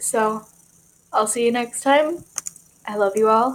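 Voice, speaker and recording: A woman's fairly high voice unfolds very slowly, its pitch varying in an ordinary way. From Michigan, US. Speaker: vlogger. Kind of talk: casual vlog talk to camera.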